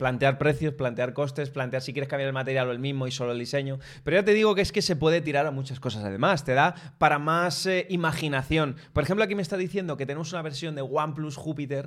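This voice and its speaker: With hardly any pauses, a man with a fairly high voice speaks at a very fast pace and ordinary pitch variation on a very clean recording with a silent background. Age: 30s. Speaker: tech podcast co-host. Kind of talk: casual chat. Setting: studio, streamed live on video.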